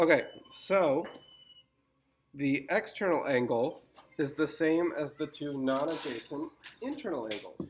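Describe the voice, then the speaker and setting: Fairly high in pitch, a man talks at a fairly slow pace with long, frequent pauses. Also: ordinary pitch variation. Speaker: math teacher. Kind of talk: tutorial.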